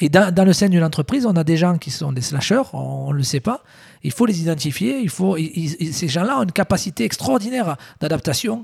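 Recorded very cleanly with a silent background, a man talks fairly quickly in a high voice with lively intonation. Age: 40s. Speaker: entrepreneur. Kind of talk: casual interview.

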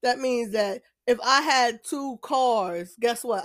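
This is a woman with an American accent. Her pitch is fairly high. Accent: sounds ratchet, street. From New Jersey. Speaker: podcast host. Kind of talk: casual monologue.

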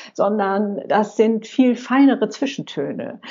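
A woman's unremarkable speaking voice, fairly high in pitch, with ordinary pitch variation and a fairly slow pace. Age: 60s. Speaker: senior blogger and YouTuber. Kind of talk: interview.

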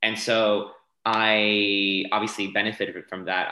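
A man with a fairly low pitch and an American accent. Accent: transatlantic, American-sounding. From France. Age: 20s. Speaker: dancer and fitness instructor. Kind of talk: casual interview.

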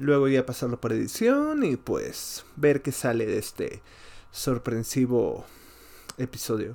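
A man speaks at a fairly slow pace and a medium pitch, with a slightly mellow tone. His pitch swings widely, and vocal fry comes through.

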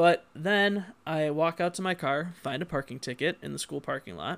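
Over a silent background in a very clean recording, a man talks at a moderate pace in an animated tone, his fairly high pitch touched with vocal fry. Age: 20s. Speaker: podcast host. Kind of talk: casual comedic chat. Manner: animated, joking.

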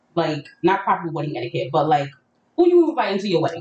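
A woman speaks in a plain, everyday voice at a fairly quick pace. Her pitch sits fairly low, with ordinary variation. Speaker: podcast host. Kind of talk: casual banter, comedic chat. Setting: live session, online stream.

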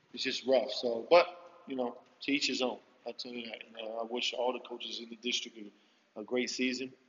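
With an American accent, a man at a medium pitch talks at a fairly quick pace in a monotone, flat intonation, his loudness swinging widely between long, frequent pauses over noticeable background noise. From US Northeast, Philadelphia. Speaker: high school basketball coach. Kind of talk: interview.

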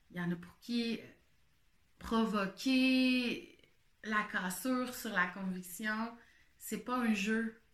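At a very slow pace with long, frequent pauses, a woman with a Quebec accent speaks at a fairly high pitch. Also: ordinary pitch variation. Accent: Québécois French. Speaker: podcaster. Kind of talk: casual monologue. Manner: halting.

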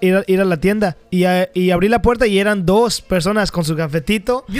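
Fairly even intonation in a high male voice. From Mexico. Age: 20s. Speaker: podcast co-host. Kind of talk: casual chat. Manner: halting, repeats words.

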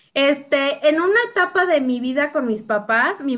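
At a moderate pace, a woman projects a raised voice with a bright, sharp tone and lively intonation. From Querétaro, Mexico (born in Michoacán). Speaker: entrepreneur and mother. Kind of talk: casual interview chat. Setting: video call.

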